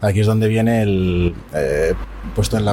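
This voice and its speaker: With noticeable background noise behind him, a man speaks at a moderate pace and a fairly low pitch. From Spain, Zaragoza. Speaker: architect. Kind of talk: interview. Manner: halting.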